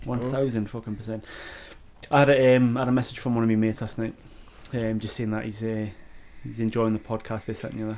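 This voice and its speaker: At a very fast pace yet with long, frequent pauses, a man speaks at medium pitch. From northern England, Newcastle. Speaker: podcast co-host. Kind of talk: casual chat. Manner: animated.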